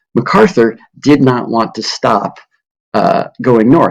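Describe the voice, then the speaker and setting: This man speaks with ordinary pitch variation. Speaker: history teacher. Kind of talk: recorded lecture. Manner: casual, rambling.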